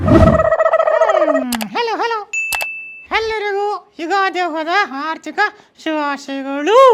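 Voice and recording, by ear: Doing a put-on character voice, a man speaks at a very slow pace with extremely high pitch and very wide pitch swings.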